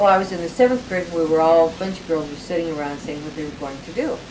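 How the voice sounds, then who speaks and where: A woman's fairly low voice at a very fast pace, with audible room echo and noticeable background noise. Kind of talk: casual chat.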